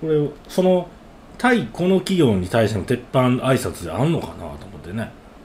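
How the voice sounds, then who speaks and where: In a Kansai accent, a man at medium pitch speaks with very wide pitch swings and big swings in loudness. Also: moderate pace. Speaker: podcast co-host. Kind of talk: casual chat.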